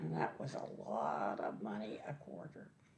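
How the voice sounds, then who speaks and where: A woman talks at a very slow pace with a very deep, low pitch and very wide pitch swings. There is noticeable background noise. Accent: Ontario. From eastern Ontario, Canada. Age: 80s+. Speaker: senior resident sharing childhood memories. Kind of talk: oral history interview. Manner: halting.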